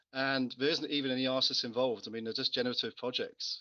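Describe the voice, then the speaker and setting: A man of medium pitch with a bright, sharp tone and monotone, flat intonation. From England (born Gibraltar, mostly London and east of England). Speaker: panel guest on crypto project AMA. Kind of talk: casual discussion. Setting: audio chat room.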